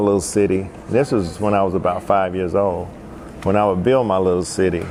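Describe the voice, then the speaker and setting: Over noticeable background noise, a man with a western North Carolina accent talks at a moderate pace. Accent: Southern US (western North Carolina). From US South, Asheville, North Carolina. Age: 60s. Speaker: musician and festival organizer. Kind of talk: personal life story monologue. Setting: indoors at a historic arcade.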